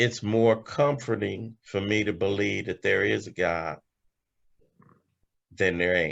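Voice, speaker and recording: Against a quiet background, a man with an American accent speaks at a very slow pace with long, frequent pauses, a fairly low pitch, ordinary pitch variation and vocal fry. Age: 60s. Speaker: recovering alcoholic speaker. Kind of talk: testimony. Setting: video call.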